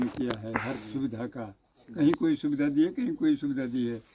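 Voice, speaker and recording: A man's pitch swings very widely, with noticeable background noise behind him. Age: 80s+. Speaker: village elder. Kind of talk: interview conversation.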